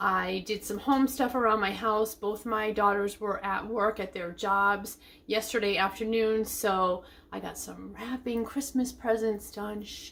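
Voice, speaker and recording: In a normal speaking voice, a woman with a fairly high pitch talks at a fairly slow pace, her intonation fairly even but her loudness swinging widely. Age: 50s. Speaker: lifestyle vlogger. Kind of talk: casual vlog chat. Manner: chatty.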